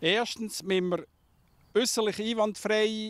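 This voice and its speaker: Against a quiet background, a man talks at a fairly slow pace in a dry sound with no echo. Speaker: fruit grower. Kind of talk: interview answer. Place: farm. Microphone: handheld.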